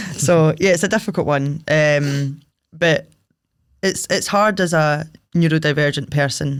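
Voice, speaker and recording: The speaker has a Scottish accent and keeps a moderate pace. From Paisley, Scotland. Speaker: singer-songwriter, drummer and club promoter. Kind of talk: interview answer. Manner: casual, chatty.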